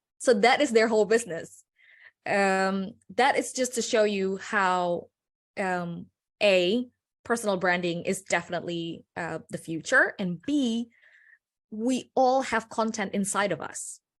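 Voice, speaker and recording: In a non-native accent, a woman of medium pitch speaks at a fairly slow pace with ordinary pitch variation against a quiet background. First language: not English. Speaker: personal branding consultant. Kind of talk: panel discussion.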